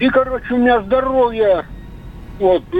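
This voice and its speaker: A man speaks with an extremely high pitch and fairly even intonation. There is noticeable background noise. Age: 40s. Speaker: caller. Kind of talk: casual chat. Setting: phone call.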